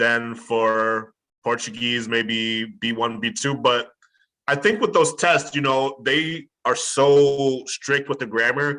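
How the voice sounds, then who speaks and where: In a Chicago accent, a man with a medium pitch and bright, sharp tone speaks at a very slow pace, with ordinary pitch variation and long, frequent pauses. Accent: Chicago American English. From US Midwest, Chicago. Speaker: language tutor and author. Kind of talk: casual interview conversation.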